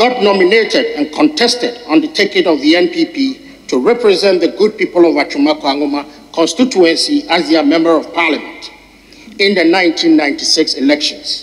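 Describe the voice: A man speaks at a moderate pace, his pitch fairly high with ordinary variation.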